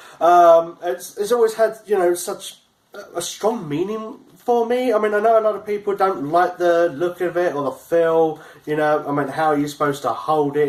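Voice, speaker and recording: A man's high-pitched voice with lively intonation at a moderate pace, over noticeable background noise. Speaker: YouTuber reviewing video game gear. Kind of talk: unboxing video. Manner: halting, with stumbles and repeated words.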